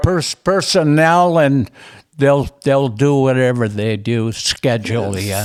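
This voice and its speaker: An American-accented man speaks at a very slow pace, his medium-pitched voice carrying lively intonation. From US Upper Midwest, Minnesota. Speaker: retired casino dealer telling life story. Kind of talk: oral history interview. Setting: at his home. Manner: halting, many restarts.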